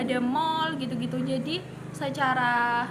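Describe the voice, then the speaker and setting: There is audible room echo and noticeable background noise around a woman's high-pitched voice. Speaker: university student interviewer. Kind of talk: student podcast interview.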